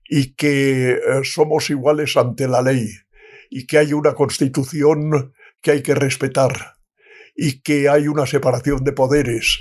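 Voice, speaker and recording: Somewhat breathy, a man speaks at a very slow pace. His pitch is fairly high. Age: 90s. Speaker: retired diplomat. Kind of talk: interview answer.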